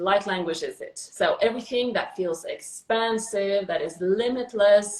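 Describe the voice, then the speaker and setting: A woman with an ordinary speaking voice and a fairly high pitch talks at a fairly slow pace with hardly any pauses, fairly even intonation, and big swings in loudness. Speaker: spiritual channeler. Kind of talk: casual conversation. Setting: live video stream.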